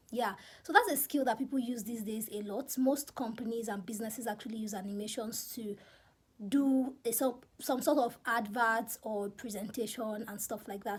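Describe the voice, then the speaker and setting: A woman speaks with a Nigerian accent. The recording is very clean, with a silent background. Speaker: YouTuber. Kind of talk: casual vlog advice.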